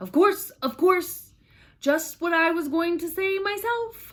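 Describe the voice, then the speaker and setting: A woman's put-on character voice, hoarse and extremely high-pitched, at a fairly slow pace. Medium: read story.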